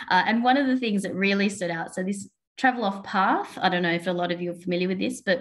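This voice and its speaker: This woman talks at a medium pitch with ordinary pitch variation. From Australia. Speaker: co-working space owner, conference speaker. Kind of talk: webinar presentation. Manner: hesitant, many fillers.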